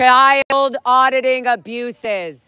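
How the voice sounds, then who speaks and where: An animated, high-pitched woman's voice, raised and projected. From raised inside Scientology. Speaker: live streamer and ex-member protester. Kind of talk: live stream from a street protest.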